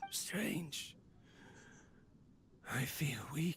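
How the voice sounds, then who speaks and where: A raspy, whispering put-on character voice. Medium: video game. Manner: melancholic, self-talking.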